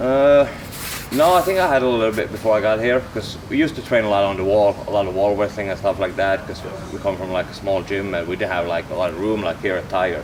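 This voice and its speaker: Over noticeable background noise, a man talks at a very fast pace. His pitch is fairly low, with ordinary pitch variation. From Finland. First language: Finnish. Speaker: MMA fighter. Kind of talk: casual chat.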